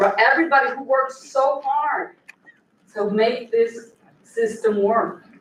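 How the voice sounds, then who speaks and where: Room echo can be heard as a woman talks rather slowly. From New York, Puerto Rican family. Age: 60s. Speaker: lawyer. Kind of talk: convention speech.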